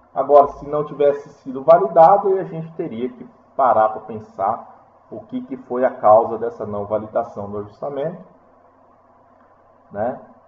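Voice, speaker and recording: Amid audible room echo, a man with a medium pitch talks at a moderate pace with lively intonation, big swings in loudness, and long, frequent pauses. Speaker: university lecturer. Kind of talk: lecture. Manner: halting.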